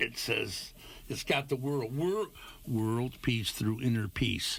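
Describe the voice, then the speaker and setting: A man with an American accent, somewhat breathy, at a fairly slow pace with ordinary pitch variation, on a very clean recording with a silent background. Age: 80s+. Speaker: musician. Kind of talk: interview. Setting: studio. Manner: animated.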